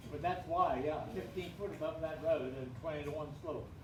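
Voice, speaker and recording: A man with a fairly high voice speaks at a fairly slow pace, with audible room echo and noticeable background noise. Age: 80s+. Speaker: retired airport founder. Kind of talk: oral history talk to a group.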